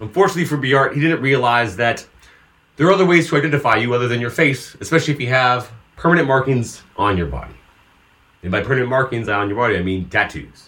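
Very fast and with lively intonation, a man with a Californian accent talks at medium pitch in a bright, sharp tone. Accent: Californian American. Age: 30s. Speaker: podcast co-host. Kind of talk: casual chat; storytelling.

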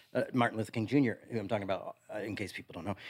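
Lively in intonation, a man with an American accent sounds dry and close, with no echo. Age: 40s. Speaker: pastor. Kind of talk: casual chat.

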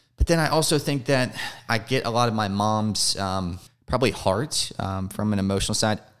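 The recording is very clean, with a silent background. A man with a fairly low voice and a slight Southern US accent speaks at a moderate pace. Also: ordinary pitch variation. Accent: little Southern. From US South. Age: 30s. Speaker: addiction recovery advocate. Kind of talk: interview.

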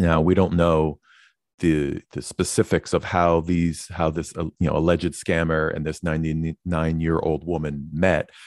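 A man speaks at a very deep, low pitch with monotone, flat intonation. The sound is dry and close with no echo, and the background is quiet. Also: moderate pace. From New York. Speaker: podcast co-host. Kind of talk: casual chat. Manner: hesitant, many fillers.

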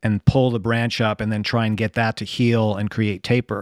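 A man with an American accent and medium pitch speaks at a moderate pace in a dry, close sound with no echo, a very clean recording with a silent background. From US Northeast, New Jersey. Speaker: bonsai artist and musician. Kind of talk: casual chat.

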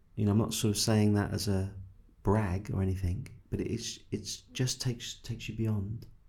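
In an English accent, a man speaks at a moderate pace with a fairly low pitch and a dark, mellow, somewhat breathy tone. His intonation is monotone and flat. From England. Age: 50s. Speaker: spiritual teacher. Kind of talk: guided meditation; interview conversation.

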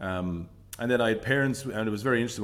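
The speaker is a man. He talks with a Limerick accent. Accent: Irish (Limerick). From Ireland, Limerick City. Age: 40s. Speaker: business leader. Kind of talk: casual interview.

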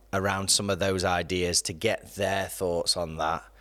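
A man with an English accent speaks in a very deep, low pitch at a moderate pace, his intonation monotone and flat. The recording is very clean, with a silent background. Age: 30s. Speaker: youth and campus pastor. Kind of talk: casual chat.

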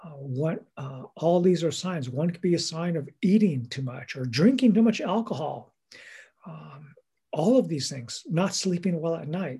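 A man with a high pitch and a dark, mellow tone speaks at a fairly slow pace with lively intonation and big swings in loudness. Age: 60s. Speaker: bishop. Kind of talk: interview. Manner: hesitant, filler-heavy.

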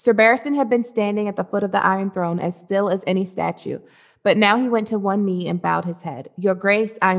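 The text gets plain reading aloud. Nothing more is added to the delivery.

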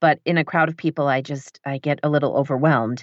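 This woman speaks with a Michigan accent. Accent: general American, Michigan. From northern Michigan. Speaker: audiobook narrator and writer. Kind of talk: casual interview chat. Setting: home basement studio, remote recording.

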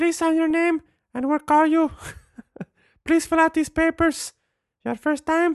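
The put-on character voice is high and monotone, with flat intonation and long, frequent pauses. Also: moderate pace. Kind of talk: broken, clipped English.

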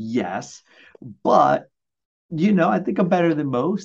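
In an American accent, a man with an unremarkable speaking voice talks at a moderate pace with lively intonation against a quiet background. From Brooklyn, New York. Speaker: mortgage loan officer. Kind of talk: casual chat.

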